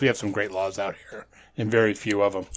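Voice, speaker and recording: Very fast speech from a man in an American accent. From upstate New York. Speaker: podcaster. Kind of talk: casual chat. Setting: video call.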